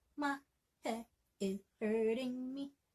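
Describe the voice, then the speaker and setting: A somewhat breathy woman with fairly even intonation. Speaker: language teacher. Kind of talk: language lesson to camera.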